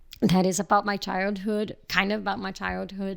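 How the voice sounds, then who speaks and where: A woman in a Portuguese accent, monotone and flat at a medium pitch, on a very clean recording with a silent background. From Brazil, Rio de Janeiro. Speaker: filmmaker and photographer. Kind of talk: casual podcast interview. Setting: podcast recording with hosts. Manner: halting, many fillers.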